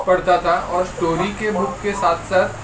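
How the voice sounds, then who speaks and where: With a Marathi accent and fairly even intonation, a man speaks at a high pitch amid audible room echo and noticeable background noise. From Maharashtra, India. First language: Marathi (speaking Hindi). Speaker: environmental volunteer. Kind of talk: interview. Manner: halting, many fillers.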